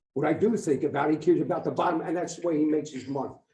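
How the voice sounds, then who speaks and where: A man with a fairly high pitch and a dark, mellow tone talks at a very fast pace, with audible echo from the room. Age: 60s. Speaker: resident speaking at public comment. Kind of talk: public comment at council meeting. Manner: loud.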